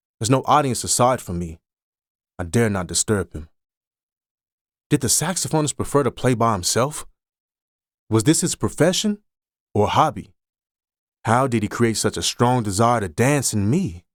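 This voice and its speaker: A man's medium-pitched voice with lively intonation at a moderate pace, broken by long, frequent pauses, dry and close with no echo, on a very clean recording with a silent background. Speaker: audiobook narrator. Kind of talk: literary short story narration.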